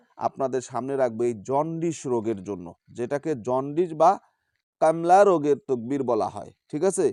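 A man speaks with a fairly high pitch and a dark, mellow tone. The background is quiet. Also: lively intonation. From Bangladesh, Bogura. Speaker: folk healer. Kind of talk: testimony; tutorial.

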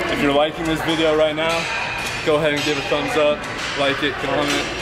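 A man keeps up a fairly quick pace against loud background noise. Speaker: fitness vlogger. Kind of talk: tutorial. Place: gym.

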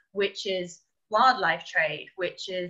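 In a quiet background, a woman with an English accent speaks at medium pitch with a bright, sharp tone and fairly even intonation. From England. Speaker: primate sanctuary director; guest. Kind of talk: interview. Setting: video call. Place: home room. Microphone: video call.

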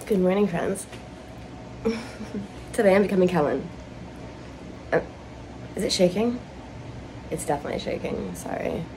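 Putting on a hoarse character voice, a woman speaks at medium pitch and a moderate pace over clear background noise. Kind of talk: casual vlog chat. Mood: cheerful, playful.

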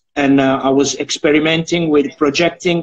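A man with an Italian accent talks at a fairly quick pace with monotone, flat intonation against a quiet background. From Italy. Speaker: digital artist; interviewee. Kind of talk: live-streamed interview. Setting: Instagram live video call. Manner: halting. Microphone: video call.

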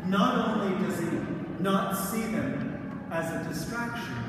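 There is strong room echo and noticeable background noise as a man speaks at a high pitch and a fairly slow pace. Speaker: priest. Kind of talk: scripture reading then sermon. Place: church. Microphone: camera far.

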